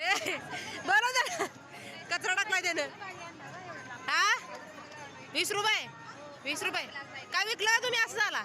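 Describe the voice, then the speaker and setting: Over crowd noise in the background, a woman projects her voice at an extremely high pitch. Her pitch varies in an ordinary way. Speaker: MBA student vlogger. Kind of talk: casual vlog chat. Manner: animated.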